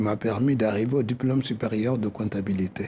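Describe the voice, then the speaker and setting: A somewhat breathy man with a West African accent, a dark, mellow tone, ordinary pitch variation and a fairly slow pace. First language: Soninke (speaking French). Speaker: cultural association president. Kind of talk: radio interview.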